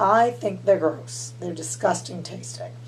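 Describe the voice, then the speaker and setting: Noticeable background noise behind an American accent. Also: woman. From Massachusetts and Louisiana. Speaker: vlogger and school nurse. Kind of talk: casual vlog.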